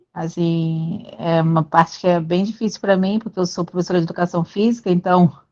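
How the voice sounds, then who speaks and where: A woman speaks at a moderate pace in a medium pitch with a dark, mellow tone. The sound is dry and close with no echo, over a quiet background. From Brazil, Rio de Janeiro. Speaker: physical education teacher, study group member. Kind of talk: casual self-introduction in group video call.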